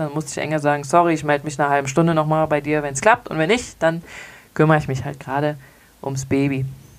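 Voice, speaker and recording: Speaking very fast, a woman with a very deep, low pitch shows ordinary pitch variation. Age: 30s. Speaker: zero waste podcaster. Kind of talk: casual solo monologue answering listener questions.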